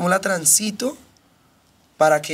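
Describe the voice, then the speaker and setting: Pitch varies in an ordinary way while the talking proceeds at a moderate pace. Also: woman. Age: 30s. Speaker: podcast guest. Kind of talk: casual chat. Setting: studio.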